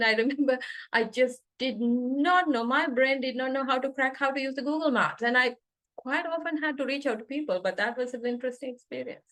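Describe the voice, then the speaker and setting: A woman talks at a fairly quick pace. Her high pitch shows ordinary variation. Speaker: NLP coach and trainer. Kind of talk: online coaching talk. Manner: fast.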